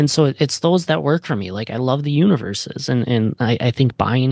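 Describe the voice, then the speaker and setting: With an American accent, a man speaks with ordinary pitch variation against a quiet background. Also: dry, close sound with no echo. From US Midwest. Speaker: podcast co-host. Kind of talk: casual chat.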